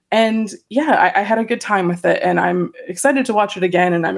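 A woman speaks in a plain, everyday voice with ordinary pitch variation. She moves at a fairly quick pace. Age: 30s. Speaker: film critic. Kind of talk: casual chat.

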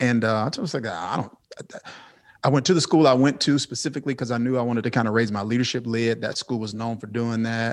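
His speech comes at a fairly quick rate. This man's pitch sits in the medium range and varies in an ordinary way. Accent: American. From US South, Mississippi. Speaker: pastor. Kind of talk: interview. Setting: video call.

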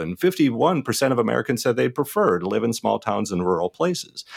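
Very fast speech with vocal fry and very wide pitch swings, dry and close with no echo, on a very clean recording with a silent background. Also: man. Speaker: rural sociologist. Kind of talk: radio interview.

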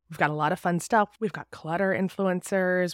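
An ordinary speaking voice moves at a fairly quick pace in a dry, close sound with no echo, on a very clean recording with a silent background. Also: woman. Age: 40s. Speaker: podcast host and novelist. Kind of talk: monologue intro to podcast.

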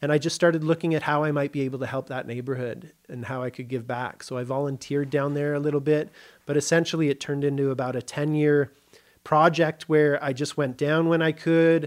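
Fairly high-pitched man with a Canadian accent, monotone and flat, at a fairly quick pace. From Canada (Kitchener, Ontario). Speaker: psychedelic addiction treatment specialist. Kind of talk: interview conversation.

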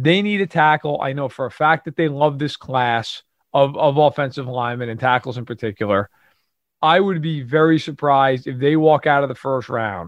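This man has an ordinary speaking voice, medium in pitch, with ordinary pitch variation and a fairly quick pace. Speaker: NFL analyst. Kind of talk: casual chat.

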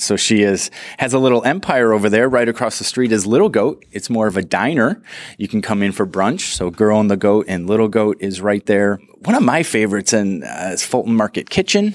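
At a fairly quick pace, a man with an American accent and a normal speaking voice talks in a fairly low pitch with ordinary pitch variation. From Chicago, US Midwest. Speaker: city tourism director. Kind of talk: casual interview. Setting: studio.

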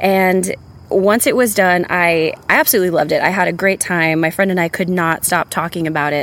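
Using an ordinary speaking voice, a woman with an American accent and a medium pitch talks at a fairly quick pace, with very even loudness and ordinary pitch variation. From San Antonio, Texas. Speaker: storyteller. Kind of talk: testimony.

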